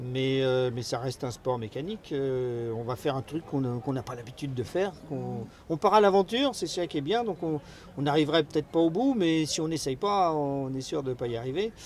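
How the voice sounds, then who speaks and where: A man with a fairly high voice speaks at a fairly quick pace, his intonation lively. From France. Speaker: ocean racing skipper. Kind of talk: interview. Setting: race village. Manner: halting, many hesitations.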